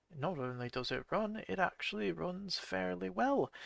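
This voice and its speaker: A man at a fairly slow pace, his bright, sharp tone swinging very widely in pitch, in a dry, close sound with no echo. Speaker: gaming YouTuber. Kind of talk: let's play commentary. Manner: halting, stumbling speech; casual, many fillers.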